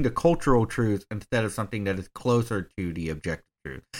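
At a fairly quick pace, a man speaks with an American accent and a fairly low pitch. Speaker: podcast co-host. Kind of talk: casual chat. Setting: video call.

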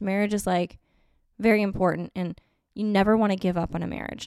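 In a very clean recording with a silent background, a woman speaks at medium pitch and a fairly quick pace in a plain, everyday voice. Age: 30s. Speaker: podcast host. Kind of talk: solo casual monologue. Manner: laughs often.

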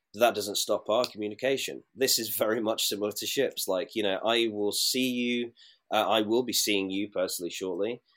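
Over a very clean recording with a silent background, a man with a British accent talks at a fairly quick pace, his fairly low pitch held in fairly even intonation. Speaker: former cruise ship crew member. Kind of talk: casual interview chat.

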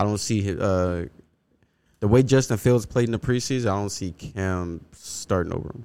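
On a very clean recording with a silent background, a man speaks at a fairly low pitch. His pace is moderate and his pitch variation ordinary. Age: 20s. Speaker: sports podcast co-host. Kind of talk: casual chat. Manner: animated.

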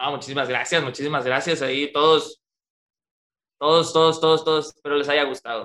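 A man with a fairly high pitch and a bright, sharp tone speaks at a fairly quick pace. His intonation is monotone and flat, and he takes long, frequent pauses. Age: 20s. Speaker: freestyle rapper. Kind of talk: interview.

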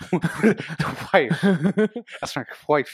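A man puts on a breathy character voice, high for a man, with lively intonation and a dry, close sound with no echo. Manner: romantic, lovesick.

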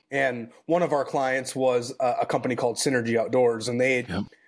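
A man with an American accent uses a normal speaking voice at medium pitch, fairly even intonation, and a moderate pace, in a very clean recording with a silent background. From Minnesota, US Midwest. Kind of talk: casual chat.

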